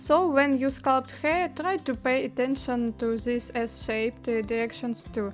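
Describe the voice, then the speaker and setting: A woman with a non-native accent speaks in a high pitch at a fairly slow pace. Noticeable background noise runs behind her. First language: not English. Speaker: 3D artist. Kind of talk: tutorial. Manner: hesitant with fillers.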